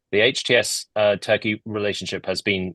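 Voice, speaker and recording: A man with a British accent, bright and sharp in tone, in a dry, close sound with no echo against a quiet background. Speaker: think tank analyst. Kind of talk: panel discussion.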